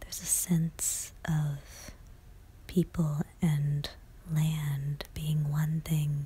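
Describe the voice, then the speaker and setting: Soft-spoken whispering at a very slow pace, with long, frequent pauses. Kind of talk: ASMR art gallery tour narration. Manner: soft-spoken, whispered.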